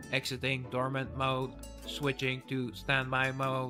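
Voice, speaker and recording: A man uses a robotic, put-on character voice of medium pitch, monotone and flat. He goes at a fairly slow pace with clear music in the background. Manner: flat, mechanical.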